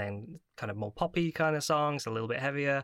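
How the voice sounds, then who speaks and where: On a very clean recording with a silent background, a bright, sharp voice moves at a fairly quick pace in a dry, close sound with no echo. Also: man. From Midlands, England. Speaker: podcast guest, music fan. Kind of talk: casual chat.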